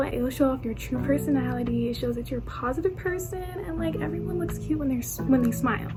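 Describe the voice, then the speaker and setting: With music playing behind her, a woman speaks in a room with audible echo. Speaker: YouTuber giving dating advice. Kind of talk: casual vlog advice. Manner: fast; animated.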